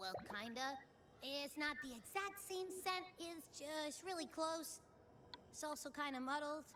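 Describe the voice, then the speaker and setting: A put-on character voice at a high pitch goes at a fairly slow pace over light background noise. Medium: video game. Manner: bubbly, casual.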